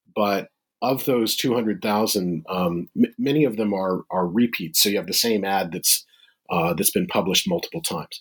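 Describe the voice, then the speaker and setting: The voice has an American accent. The recording is very clean with a silent background and a dry, close sound with no echo. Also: man, fairly low pitch for a man, lively intonation, moderate pace. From US Midwest. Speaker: history professor. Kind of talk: interview. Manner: halting.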